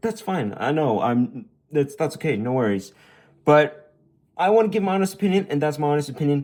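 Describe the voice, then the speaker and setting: A man's fairly high voice with very wide pitch swings at a fairly quick pace. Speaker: toy reviewer. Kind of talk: product review monologue. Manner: halting, self-correcting; enthusiastic.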